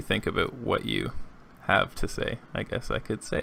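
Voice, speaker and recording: A man mumbling in a monotone, flat intonation. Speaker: podcast host. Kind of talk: casual chat.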